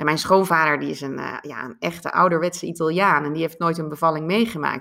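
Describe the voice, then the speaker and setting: A woman talks at a very fast pace with hardly any pauses and fairly even intonation. Her pitch is very deep and low, and her tone is bright and sharp. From Netherlands. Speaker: life coach. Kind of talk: interview.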